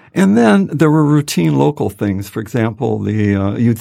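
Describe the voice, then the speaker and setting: A man speaks with an American accent in a fairly low voice. His tone is dark and mellow. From Michigan, US. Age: 80s. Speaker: author. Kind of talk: interview, friendly chat.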